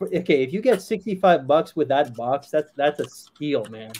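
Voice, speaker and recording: Here a man talks at a moderate pace with a fairly high pitch. He has an unremarkable speaking voice and lively intonation. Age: 40s. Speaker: fragrance YouTuber. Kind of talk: casual chat.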